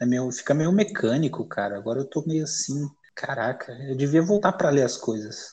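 Lively intonation at a moderate pace, somewhat breathy. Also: man, fairly high pitch for a man. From Brazil, São Paulo area (Carapicuíba). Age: 20s. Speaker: poet. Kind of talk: casual interview. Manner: casual, slangy.

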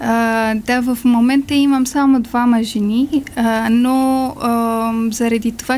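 Against noticeable background noise, a woman with a high pitch talks at a fairly slow pace in a monotone, flat intonation. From Afghanistan. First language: not Bulgarian (Afghan language) (speaking Bulgarian). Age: 20s. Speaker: refugee, small business owner. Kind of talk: interview. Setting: studio.

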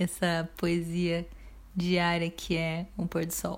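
Calm and somewhat breathy, the speech comes very slowly in a Brazilian accent. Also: woman. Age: 30s. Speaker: podcast host, therapist. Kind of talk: reflective solo monologue.

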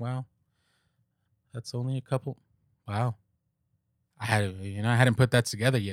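A man with a medium pitch and a relaxed tone speaks at a moderate pace with ordinary pitch variation. The very clean recording has a silent background and a dry, close sound with no echo. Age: 30s. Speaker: podcast host. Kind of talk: casual monologue. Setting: recording alone. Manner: relaxed, rambling with fillers.

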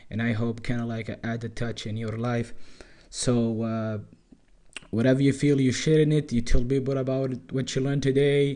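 With a dark, mellow tone, a man talks at a moderate pace and medium pitch in a monotone, flat intonation. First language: not English. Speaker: podcast host. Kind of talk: casual monologue. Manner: halting.

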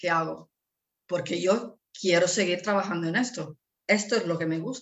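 Speaking at a moderate pace, a woman with an Italian accent uses ordinary pitch variation. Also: fairly low pitch for a woman. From northern Italy. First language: Italian (speaking Spanish). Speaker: language teacher and entrepreneur mother. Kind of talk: interview. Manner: halting.

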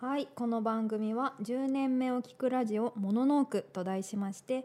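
A woman's dark, mellow tone at a fairly slow pace with fairly even intonation. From Tokyo. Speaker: radio host and artist. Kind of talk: scripted narration; casual chat. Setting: studio.

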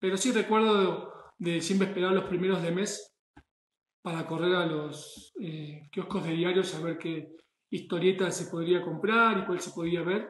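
A high-pitched man at a fairly slow pace, with fairly even intonation and audible room echo. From Argentina. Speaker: chef. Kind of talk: monologue. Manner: halting.

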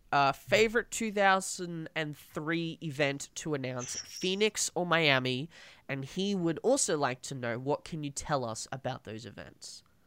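Over a silent background in a very clean recording, a speaker with an Australian accent talks at a fairly slow pace with lively intonation and a bright, sharp tone. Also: man. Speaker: podcast host. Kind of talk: casual interview. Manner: halting.

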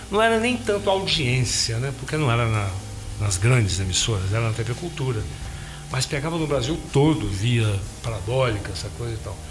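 A man talks at a medium pitch and a moderate pace with lively intonation. Music plays in the background, and audible room echo surrounds the voice. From Minas Gerais, Brazil (Carangola). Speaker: singer and bandleader. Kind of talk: casual interview chat.

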